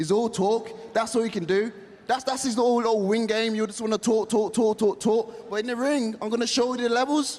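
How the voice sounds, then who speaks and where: Someone talks fairly quickly with a British accent. Background noise is noticeable. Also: man. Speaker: boxer. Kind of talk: heated debate. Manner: loud.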